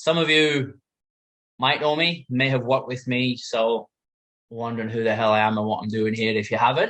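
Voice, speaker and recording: The speaker has a British accent. Pitch variation is ordinary. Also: man, medium pitch for a man, moderate pace. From UK. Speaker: life coach and former carpenter. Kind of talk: talk to an audience. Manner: casual, with frequent fillers.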